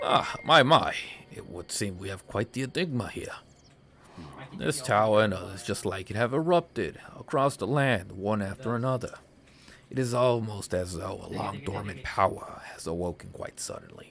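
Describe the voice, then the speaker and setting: A man puts on a raspy character voice at a medium pitch. He speaks at a moderate pace with lively intonation. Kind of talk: formal, theatrical.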